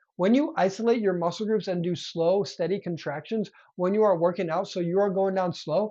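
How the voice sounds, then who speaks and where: A man talks at a fairly quick pace. His voice is high-pitched. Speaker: fitness youtuber and coach. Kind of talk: tutorial. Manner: fast; animated.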